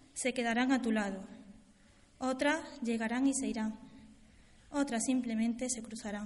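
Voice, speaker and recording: Speaking at a fairly slow pace, a woman uses a high pitch and fairly even intonation. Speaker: presenter introducing the speaker. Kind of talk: formal introduction, read aloud. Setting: stage with audience. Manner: formal.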